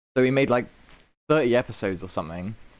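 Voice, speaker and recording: A man with a British accent speaks at a medium pitch. The background is quiet. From Britain. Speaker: podcast host. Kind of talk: casual chat. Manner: animated.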